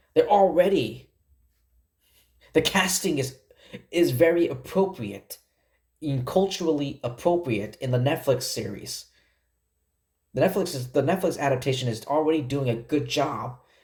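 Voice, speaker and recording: This man talks at a moderate pace with lively intonation, a fairly high pitch and a somewhat breathy sound, leaving long, frequent pauses. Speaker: YouTube film commentator. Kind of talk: casual vlog review monologue. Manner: halting, stuttering.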